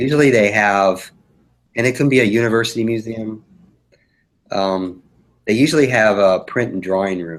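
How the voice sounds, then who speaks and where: Here a man is speaking. His pace is moderate. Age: 60s. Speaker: children's book illustrator. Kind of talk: live webinar critique. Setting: live online broadcast.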